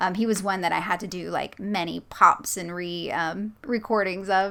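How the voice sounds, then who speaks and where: A woman speaks with an American accent at a medium pitch. Her pace is moderate and her intonation fairly even. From US South. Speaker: creepypasta narrator and channel host. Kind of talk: casual interview chat.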